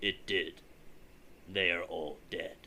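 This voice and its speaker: A man performs a put-on character voice over clear background noise. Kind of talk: audiobook dramatic reading. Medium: read story. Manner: cold, measured, unemotional.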